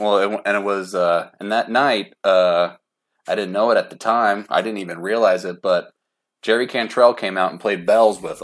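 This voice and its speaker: An ordinary speaking voice with an American accent moves at a moderate pace with fairly even intonation and big swings in loudness, recorded very cleanly against a silent background. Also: man, fairly low pitch for a man. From Oklahoma City, US. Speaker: metal fan. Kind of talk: casual chat.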